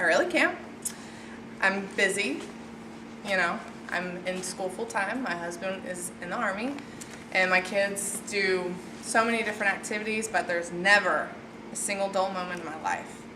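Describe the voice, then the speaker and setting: A woman speaks at medium pitch and a moderate pace, with ordinary pitch variation and long, frequent pauses. Noticeable background noise and audible room echo fill the recording. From Tennessee, near Nashville. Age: 20s. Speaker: college student. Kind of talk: class speech; Q&A answer. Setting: classroom with audience. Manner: loud; animated.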